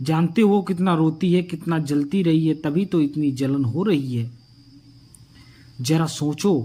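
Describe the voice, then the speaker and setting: This man has a dark, mellow tone at a fairly high pitch. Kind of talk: moral story narration.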